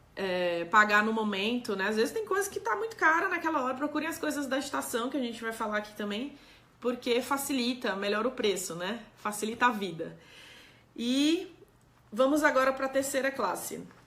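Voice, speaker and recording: Against noticeable background noise, a woman talks at a moderate pace with a high pitch and lively intonation. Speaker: doctor giving health talk. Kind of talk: live stream talk answering chat.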